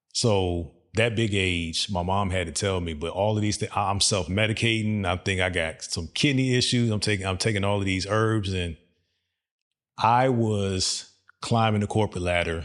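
A man with a fairly low pitch and fairly even intonation talks in an ordinary speaking voice. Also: moderate pace, very clean recording, silent background. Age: 40s. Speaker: podcast host. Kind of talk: casual interview.

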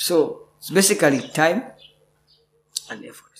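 A man speaks with vocal fry and ordinary pitch variation. Audible room echo surrounds his voice. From Uganda. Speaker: actor. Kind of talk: interview. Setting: theatre.

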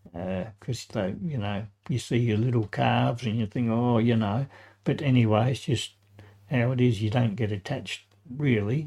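A man's somewhat breathy voice, medium-pitched with a dark, mellow tone, ordinary pitch variation and a moderate pace, on a very clean recording with a silent background. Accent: Australian. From Adelaide, South Australia. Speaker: retired tradesman and grandfather. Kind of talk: interview, life stories. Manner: halting.

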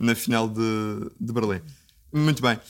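A man with a European Portuguese accent talks at a medium pitch with ordinary pitch variation. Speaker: podcast host. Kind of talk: casual chat. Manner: halting.

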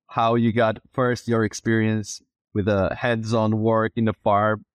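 A man with a Brazilian accent talks at medium pitch and a fairly slow pace. The sound is dry and close with no echo over a quiet background. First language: Portuguese. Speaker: podcast host. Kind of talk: casual interview conversation. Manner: halting, many fillers and repetitions.

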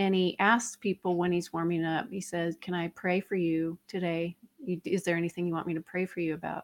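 In an unremarkable speaking voice, a woman with a fairly low pitch speaks at a fairly quick pace, with fairly even intonation and hardly any pauses. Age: 50s. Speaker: author and nutritionist. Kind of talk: casual interview.

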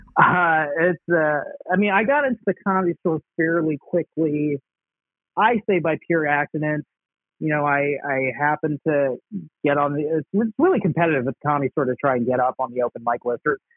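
A man with an American accent has a normal speaking voice at a fairly high pitch. He moves at a fairly quick pace, with ordinary pitch variation. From Dallas, Texas. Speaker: stand-up comedian. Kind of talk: casual interview. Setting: remote call.

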